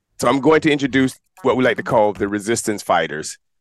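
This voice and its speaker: There's ordinary pitch variation as a man speaks, with a dry, close sound and no echo. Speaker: podcast host. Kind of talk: casual show hosting. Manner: fast; animated.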